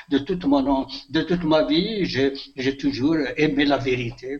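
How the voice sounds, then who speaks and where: The speaker is a man with a fairly high pitch. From Algeria, Kabylie (Béjaïa region). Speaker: retired teacher and author. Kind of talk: interview. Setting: phone call. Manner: halting.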